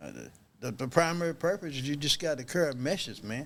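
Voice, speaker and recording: A normal speaking voice from a man, fairly quick, with ordinary pitch variation. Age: 60s. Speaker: addiction treatment worker. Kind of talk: casual chat.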